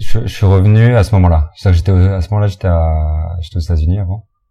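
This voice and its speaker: A man with a very deep, low pitch and a dark, mellow tone speaks at a very fast pace, somewhat breathy, with ordinary pitch variation. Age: 40s. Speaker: restaurant owner and farmer. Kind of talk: interview. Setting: restaurant. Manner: halting.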